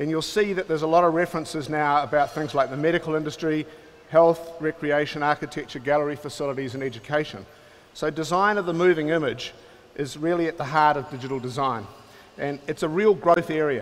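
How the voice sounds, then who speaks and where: A man with a New Zealand accent talks at a very fast pace, his fairly high pitch held in fairly even intonation. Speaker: film and television producer, company founder. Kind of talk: keynote talk. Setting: conference stage with audience.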